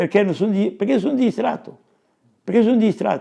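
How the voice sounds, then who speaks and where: A man is speaking. His tone is dark and mellow, with ordinary pitch variation. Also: quiet background. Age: 80s+. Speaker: woodcarver. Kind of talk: casual chat. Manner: halting.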